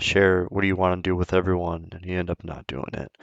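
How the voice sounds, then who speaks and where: Mumbled, monotone and flat speech comes at a fairly quick pace, with a dry, close sound with no echo and a quiet background. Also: man. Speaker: gaming YouTuber. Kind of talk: casual chat. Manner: mumbling.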